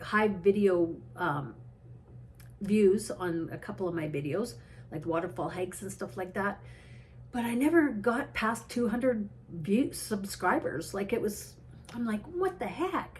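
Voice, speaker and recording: Medium-pitched female voice with vocal fry, very wide pitch swings and a fairly slow pace. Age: 60s. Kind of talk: casual talk to camera. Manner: rambling, tangential.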